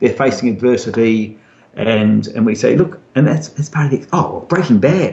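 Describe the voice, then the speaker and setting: A man speaks with an Australian accent at a moderate pace. His fairly high voice has lively intonation. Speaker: novelist. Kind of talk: interview. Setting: video call. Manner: repetitive, halting at times.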